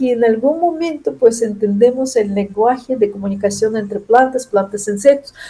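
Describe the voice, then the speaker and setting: A woman with a non-native accent, a dark, mellow tone and lively intonation, at a moderate pace with hardly any pauses. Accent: foreign accent in Spanish. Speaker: chemist, professor. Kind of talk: interview. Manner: halting, with false starts.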